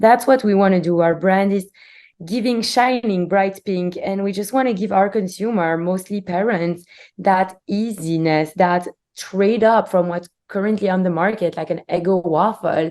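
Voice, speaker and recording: A woman's medium-pitched voice with a Belgian accent and a dark, mellow tone. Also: ordinary pitch variation, moderate pace. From Belgium. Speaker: company CEO. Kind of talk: interview.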